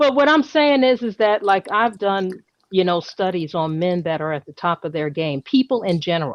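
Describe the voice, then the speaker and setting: A woman speaks with an American accent in an animated tone. Her pitch swings very widely. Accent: New York accent, stronger when excited. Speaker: live stream host. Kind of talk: casual live stream discussion.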